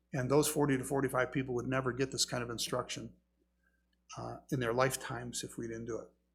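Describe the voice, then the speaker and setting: Using vocal fry, a man talks at a very fast pace in a medium-pitched voice with monotone, flat intonation. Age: 60s. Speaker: pastor. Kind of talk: sermon.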